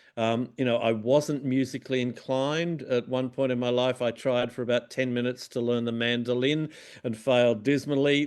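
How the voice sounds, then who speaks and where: Moderate pace from a man in an Australian accent. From Tasmania, Australia (Launceston). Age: 60s. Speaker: music journalist. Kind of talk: interview. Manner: halting, many fillers and repeats.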